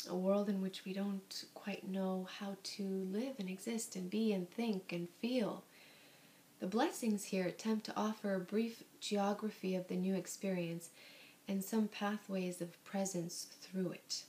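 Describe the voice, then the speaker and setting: This soft-spoken woman has a gentle, dark, mellow tone, somewhat breathy and at a medium pitch. She speaks at a fairly slow pace with monotone, flat intonation. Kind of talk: soft-spoken ASMR book reading. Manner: soft-spoken, gentle.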